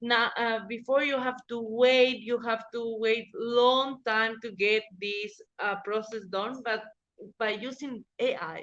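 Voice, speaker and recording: Very slowly, a woman speaks with a Spanish accent. Her voice is fairly high, her intonation monotone and flat. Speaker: legal professional. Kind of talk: interview. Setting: podcast interview. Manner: halting, many fillers.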